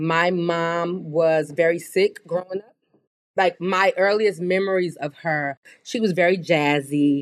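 A woman speaks at a fairly slow pace with an American accent and a fairly low pitch. She has an ordinary speaking voice. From US Midwest, inner-city Chicago. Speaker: beauty brand co-founder. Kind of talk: interview.

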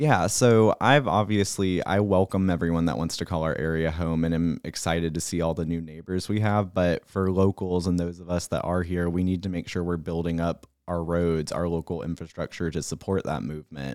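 A man with an American accent and a very deep, low pitch, talking at a fairly quick pace with hardly any pauses and ordinary pitch variation, on a very clean recording over a silent background. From South Carolina, Horry County. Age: 20s. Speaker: political candidate. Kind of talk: interview.

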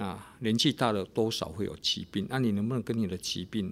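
A man with a normal speaking voice talks at a moderate pace with fairly low pitch and ordinary pitch variation, on a very clean recording with a silent background. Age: 50s. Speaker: pastor and radio host. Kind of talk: radio devotional talk.

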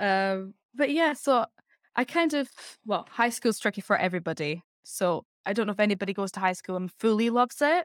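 Spoken with an Edinburgh accent at a fairly quick pace, the voice swings very widely in pitch, recorded very cleanly against a silent background with a dry, close sound and no echo. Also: woman, fairly high pitch for a woman. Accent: Scottish (Edinburgh). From Scotland, Edinburgh. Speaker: actress and singer. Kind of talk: casual chat.

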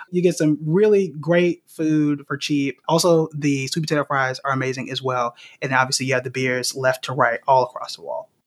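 A man with an American accent speaks in a normal speaking voice at a moderate pace, fairly high in pitch and fairly even in intonation, with hardly any pauses and a dry, close sound with no echo. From Oklahoma, Tulsa. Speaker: investing educator. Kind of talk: casual chat.

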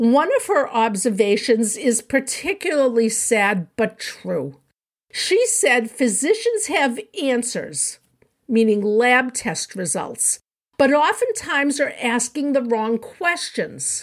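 Her pitch high and swinging very widely, a woman speaks at a very slow pace. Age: 70s. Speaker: podcast host and diet author. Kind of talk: solo educational podcast.

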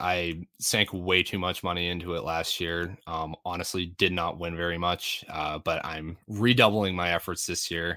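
A bright, sharp voice delivers monotone, flat intonation at a moderate pace with hardly any pauses in a very clean recording with a silent background. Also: man. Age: 20s. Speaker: fantasy football analyst. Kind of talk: casual chat.

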